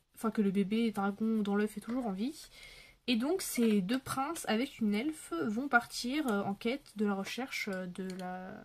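At a fairly slow pace, a woman with a somewhat breathy voice talks at a fairly high pitch with ordinary pitch variation. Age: 20s. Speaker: YouTuber, adult colouring channel; colouring hobby vlogger. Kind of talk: casual chat to camera while colouring; casual vlog chat. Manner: hesitant, many fillers. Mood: relaxed, chatty. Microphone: phone near.

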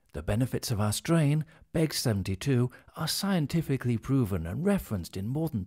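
A man with a British accent speaks at a fairly quick pace in a dark, mellow, somewhat breathy tone, with very wide pitch swings over a quiet background. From England. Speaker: voice actor. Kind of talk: corporate narration. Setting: studio. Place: studio. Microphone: studio mic.

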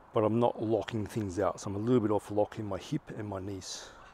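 The voice is somewhat breathy and very fast, with monotone, flat intonation, in a dry sound with no echo over light background noise. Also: man. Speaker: fitness coach. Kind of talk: tutorial. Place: garden.

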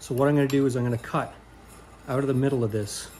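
A man with a somewhat breathy voice speaks with fairly even intonation over light background noise. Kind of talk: thinking-aloud tutorial narration. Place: workshop. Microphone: phone near.

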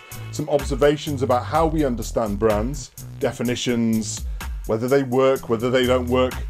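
A man at a moderate pace, faint music in the background. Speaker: marketing professor. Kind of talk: casual talk to camera. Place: home room. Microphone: phone near.

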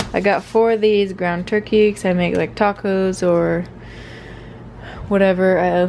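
Over light background noise, a woman talks at a very slow pace with monotone, flat intonation. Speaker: fitness vlogger. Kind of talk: casual vlog chat. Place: kitchen. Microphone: phone near.

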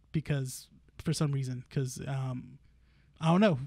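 On a very clean recording with a silent background, a man with a fairly high, somewhat breathy voice speaks at a moderate pace with fairly even intonation. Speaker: podcast co-host. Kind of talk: casual chat. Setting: comic shop.

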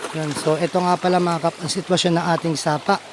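Background noise is noticeable behind a man's voice. He talks at a moderate pace with a high pitch. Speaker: vlogger, small farmer. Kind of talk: casual vlog walkthrough. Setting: outdoors on a farm.

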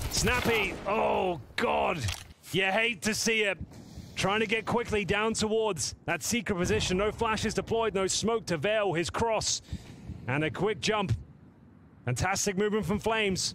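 Animated and dramatic in tone, a man speaks at a high pitch with ordinary pitch variation and very even loudness. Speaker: esports caster. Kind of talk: sports commentary. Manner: animated, fast-paced play-by-play with dramatic, excitable delivery.

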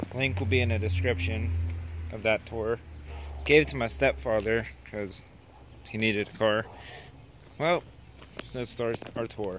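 With lively intonation and long, frequent pauses, a man speaks at a moderate pace and fairly low pitch, the sound dry with no echo and light background noise behind him. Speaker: car owner. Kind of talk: casual car tour talk to camera. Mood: relaxed, proud. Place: street. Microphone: phone near.

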